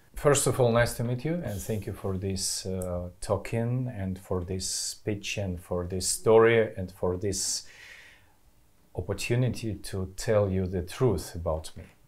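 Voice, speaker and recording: A man speaks fairly slowly. A somewhat breathy quality marks his voice. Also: ordinary pitch variation. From Belarus, Minsk. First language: Belarusian or Russian. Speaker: film director and political activist. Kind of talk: interview testimony. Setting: at guest's home. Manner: halting, non-fluent English.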